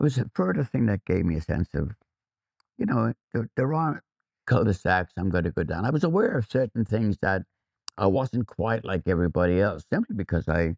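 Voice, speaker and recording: Someone with an Irish accent talks at a fairly quick pace with lively intonation. The sound is dry and close with no echo, and the loudness stays very even. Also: man, fairly low pitch for a man. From Ireland, Athy, County Kildare. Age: 70s. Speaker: photographer. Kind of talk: interview, personal recollection. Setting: school visit. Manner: halting, repeats words.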